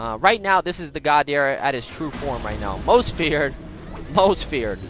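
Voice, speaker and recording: A man's fairly high voice with very wide pitch swings, music playing in the background. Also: big swings in loudness. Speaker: gaming streamer. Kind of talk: gameplay commentary. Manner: fast; animated.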